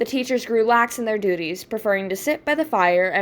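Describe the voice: The clip is of plain reading aloud.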